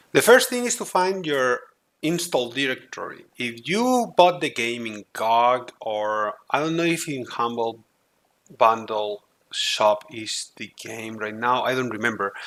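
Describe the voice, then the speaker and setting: A man with a non-native accent speaks at a fairly slow pace and a medium pitch. His intonation is lively, and his loudness swings widely. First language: not English. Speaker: gaming tutorial youtuber. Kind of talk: tutorial. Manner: halting, frequent fillers.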